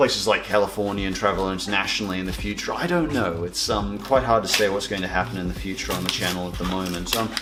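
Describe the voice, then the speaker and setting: A man with a very deep, low voice speaks at a very fast pace with hardly any pauses and ordinary pitch variation. Noticeable background noise and audible room echo surround him. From Canada. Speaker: YouTuber. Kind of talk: reading fan mail, casual chat. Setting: home lounge room. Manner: halting, many fillers.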